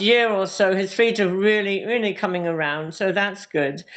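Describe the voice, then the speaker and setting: A woman speaks with a British accent at a fairly slow pace. The background is quiet. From UK. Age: 60s. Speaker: hoof care practitioner. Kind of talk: interview.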